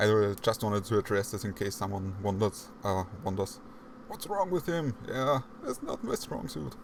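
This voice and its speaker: Speaking at a moderate pace, a man with a strong non-native accent has lively intonation. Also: fairly low pitch for a man. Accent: heavy non-native English. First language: not English. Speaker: podcast host. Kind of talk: casual chat.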